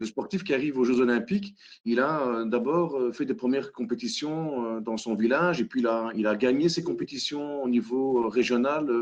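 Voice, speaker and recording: A man speaks with a Belgian accent. His pitch is medium. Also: ordinary pitch variation, moderate pace. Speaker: hackathon facilitator. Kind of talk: web conference presentation. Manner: halting, many fillers.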